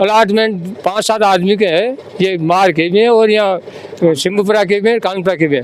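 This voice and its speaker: A man speaks in a high voice at a moderate pace, with ordinary pitch variation. His loudness stays very even, and background noise is noticeable. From Rajasthan, Jaipur district village. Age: 70s. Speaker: villager, former deputy village head. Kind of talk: interview.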